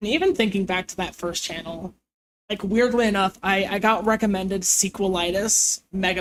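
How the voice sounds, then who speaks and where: At a moderate pace, a woman with a normal speaking voice talks in a medium pitch with fairly even intonation. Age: 20s. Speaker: streamer. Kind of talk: casual chat. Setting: live stream.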